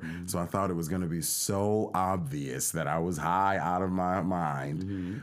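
In an American accent, a man talks at a moderate pace with a very deep, low pitch. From USA. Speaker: podcast co-host, son. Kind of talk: casual chat.

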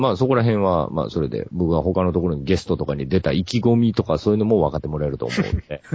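A man speaks at a very fast pace with a very deep, low pitch. His pitch swings very widely. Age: 40s. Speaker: podcast guest. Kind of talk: casual chat.

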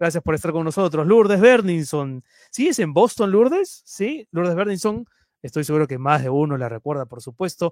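Lively intonation moves at a moderate pace through a dry, close sound with no echo, on a very clean recording with a silent background. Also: man, high pitch for a man. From Peru (Lima). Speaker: web news show host. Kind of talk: live stream news show. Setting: live stream broadcast.

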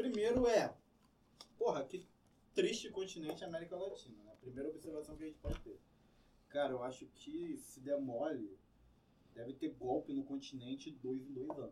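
Pausing long and often, a man speaks at a moderate pace while his loudness swings widely. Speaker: podcast co-host and teacher. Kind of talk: casual chat. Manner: speaking quietly today.

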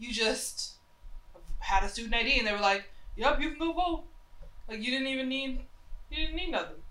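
A woman with an American accent speaks in a raised, projected voice at a high pitch, using lively intonation and a fairly quick pace broken by long, frequent pauses, with noticeable background noise behind her. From US South, Charlotte, North Carolina. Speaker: podcast co-host. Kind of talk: casual chat.

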